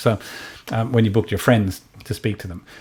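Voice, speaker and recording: A man speaks with an Australian accent at a fairly quick pace. His pitch varies in an ordinary way. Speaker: tech company founder. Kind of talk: product presentation. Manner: halting, many fillers.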